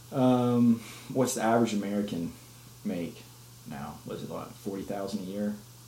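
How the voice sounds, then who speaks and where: Audible room echo surrounds a man with a fairly low pitch and ordinary pitch variation. He keeps a moderate pace with long, frequent pauses and big swings in loudness. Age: 20s. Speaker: podcast co-host. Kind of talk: casual chat.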